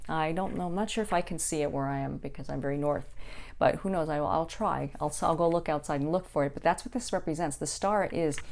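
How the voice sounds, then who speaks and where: Her pitch very deep and low for a woman, she speaks at a very fast pace with ordinary pitch variation. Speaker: psychic tarot reader. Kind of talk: casual monologue tarot reading.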